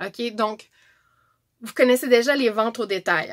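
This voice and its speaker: A woman speaks with a Quebec accent at a moderate pace. Her voice is fairly high, with ordinary pitch variation. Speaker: direct sales presenter. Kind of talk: tutorial.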